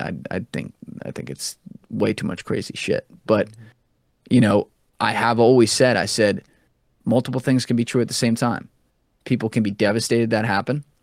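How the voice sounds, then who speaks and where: Medium-pitched and marked by vocal fry, a man's voice moves at a fairly quick pace with ordinary pitch variation. The sound is dry and close, without echo. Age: 20s. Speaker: podcast host and former Wall Street banker. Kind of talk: casual chat.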